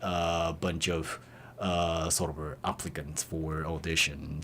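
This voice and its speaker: Here a man speaks with a Japanese accent. His pace is very slow. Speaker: musician in a band. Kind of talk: radio interview. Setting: radio studio. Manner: halting, many fillers.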